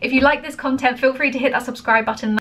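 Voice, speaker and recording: A woman uses a raised, projected voice at high pitch. Noticeable background noise is present. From England. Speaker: reaction video creator. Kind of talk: casual chat.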